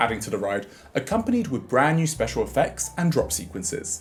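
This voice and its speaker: At a fairly quick pace, a man speaks with a European accent. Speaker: video essayist. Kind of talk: video essay narration.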